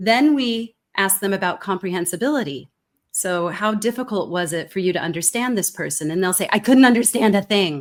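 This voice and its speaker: Someone with a Californian accent talks at a fairly quick pace in a very clean recording with a silent background. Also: woman, medium pitch for a woman, lively intonation. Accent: General American (Californian). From California, US. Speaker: communication expert, keynote speaker. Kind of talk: interview conversation.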